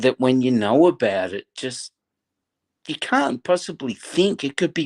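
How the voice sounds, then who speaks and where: Against a quiet background, a man with an Australian accent talks at a fairly slow pace and medium pitch, the sound dry and close with no echo. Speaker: football fan guest. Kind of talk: passionate fan commentary. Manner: animated.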